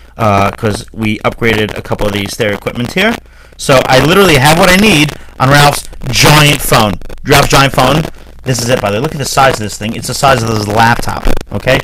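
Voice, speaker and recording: Over noticeable background noise, a man with a medium-pitched voice talks at a fairly quick pace and with lively intonation. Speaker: radio show host. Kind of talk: casual radio chat. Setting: studio. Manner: loud.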